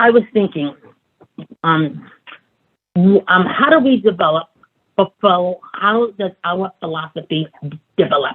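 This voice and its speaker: With a Brooklyn accent, a woman at medium pitch speaks at a fairly slow pace with lively intonation and long, frequent pauses. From Brooklyn, New York. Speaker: advocacy group president. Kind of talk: seminar talk. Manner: halting, many fillers.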